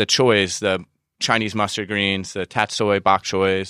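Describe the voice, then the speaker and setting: A man speaks in a fairly low voice with a bright, sharp tone and fairly even intonation. The sound is dry and close with no echo, over a quiet background. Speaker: produce market representative. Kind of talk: market report.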